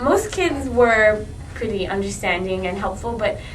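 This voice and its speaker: A woman speaks at a moderate pace with a fairly high pitch. Noticeable background noise and audible room echo surround her voice. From Montreal, Quebec, partly Latin America. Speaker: student interviewee. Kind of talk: interview.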